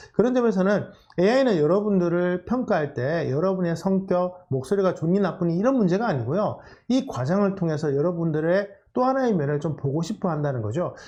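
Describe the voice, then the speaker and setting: With a high pitch, a dark, mellow tone and lively intonation, a man talks at a fairly quick pace. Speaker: career coach lecturer. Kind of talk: lecture. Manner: fast.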